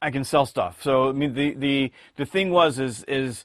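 Medium-pitched male speech in an American accent with ordinary pitch variation. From US South, rural Georgia. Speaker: sales trainer and author. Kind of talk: interview.

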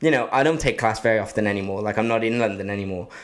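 With an English accent, this man talks using ordinary pitch variation. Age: 20s. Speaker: dancer and podcast host. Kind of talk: casual chat. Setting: home studio, Instagram live.

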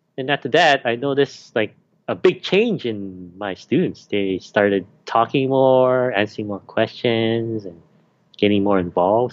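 A man with an ordinary speaking voice talks at a moderate pace and medium pitch, with ordinary pitch variation. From Canada. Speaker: university teaching fellow. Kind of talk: interview.

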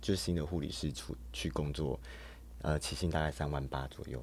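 A man with vocal fry and lively intonation at a moderate pace. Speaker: emergency room nurse and go-go dancer. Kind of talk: casual interview.

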